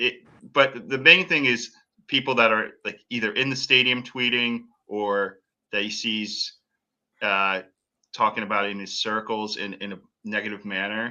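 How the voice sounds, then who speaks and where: Speaking with an American accent at a moderate pace, the voice keeps a fairly even intonation and leaves long, frequent pauses. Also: man, medium pitch for a man. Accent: slight New England accent, usually hidden. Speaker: podcast host. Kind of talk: casual chat.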